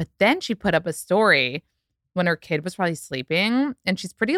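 An animated, fairly quick delivery with ordinary pitch variation, dry and close with no echo, on a very clean recording against a silent background. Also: woman. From United States. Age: 30s. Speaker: actress and podcast host. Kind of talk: casual chat.

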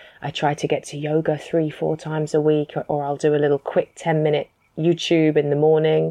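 A woman with a very deep, low pitch and a British accent talks at a fairly quick pace in a flat monotone. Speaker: author and entrepreneur. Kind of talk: interview.

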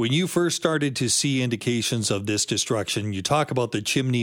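Recorded very cleanly over a silent background, a man speaks in a plain, everyday voice at a moderate pace with ordinary pitch variation. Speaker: guest radio host. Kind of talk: talk radio interview. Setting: studio.

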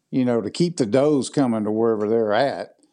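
A man speaks at a fairly quick pace with a Mississippi accent, his tone dark and mellow. His pitch varies in an ordinary way over a quiet background. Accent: Mississippi Southern. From southwest Mississippi, US South. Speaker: hunting video producer. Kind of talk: casual interview.

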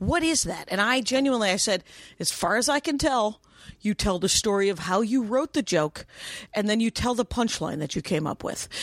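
A woman's fairly high voice with very wide pitch swings, on a very clean recording with a silent background. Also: moderate pace. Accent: American. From Wisconsin, US. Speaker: stand-up comedian. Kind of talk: casual chat.

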